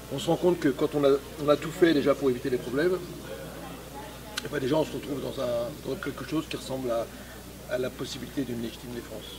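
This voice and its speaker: Against noticeable background noise, a man speaks at a very fast pace with long, frequent pauses. His pitch is fairly high and his intonation fairly even. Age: 60s. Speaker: street boxing instructor, retired police officer. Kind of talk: interview. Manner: hesitant, many fillers.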